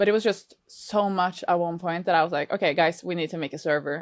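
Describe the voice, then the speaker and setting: A woman with a Norwegian accent, a fairly low pitch, fairly even intonation and a very fast pace. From Norway. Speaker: reaction video creator. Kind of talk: interview.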